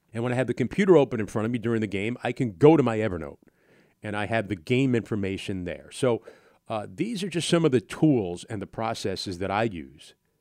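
This man has a plain, everyday voice at a medium pitch, with lively intonation and a fairly quick pace. The recording is very clean, with a silent background. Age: 50s. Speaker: sports play-by-play broadcaster and podcast host. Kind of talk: casual solo podcast monologue answering listener questions.

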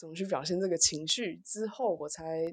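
Lively intonation carries speech that runs at a moderate pace. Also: woman. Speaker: social worker. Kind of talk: casual chat. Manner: halting.

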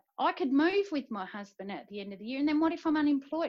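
A woman speaks with an Australian accent. Her intonation is lively and bouncy. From South Australia. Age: 50s. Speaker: military spouse. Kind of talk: casual interview.

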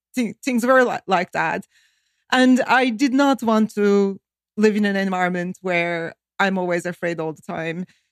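Someone with a Turkish accent talks at a fairly slow pace with ordinary pitch variation in a dry, close sound with no echo. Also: woman, medium pitch for a woman. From Turkey. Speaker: economist, think tank director. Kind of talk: interview.

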